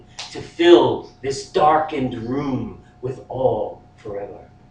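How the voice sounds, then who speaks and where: A man talks at a very slow pace. Noticeable background noise sits behind him. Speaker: poet. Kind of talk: poetry reading.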